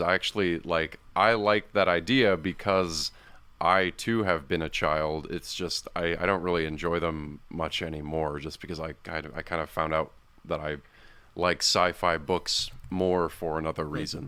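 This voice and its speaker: The recording is very clean, with a silent background. A man speaks at a very deep, low pitch in a bright, sharp tone. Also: ordinary pitch variation, moderate pace. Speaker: podcast guest. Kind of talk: casual chat.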